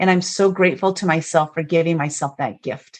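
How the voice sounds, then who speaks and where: With ordinary pitch variation, a woman speaks at a moderate speed. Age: 50s. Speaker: author and motivational speaker. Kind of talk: podcast interview, personal testimony. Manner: animated.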